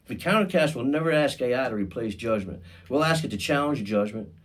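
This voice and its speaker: With audible room echo, a man speaks at a moderate pace, his pitch swinging very widely. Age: 50s. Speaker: podcast host. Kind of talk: podcast monologue. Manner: casual, conversational with fillers; halting, repeats words.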